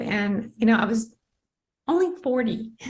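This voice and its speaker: Speaking at a moderate pace, a woman's fairly high voice comes across as somewhat breathy. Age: 60s. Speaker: network marketing member sharing health story. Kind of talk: testimony. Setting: video call.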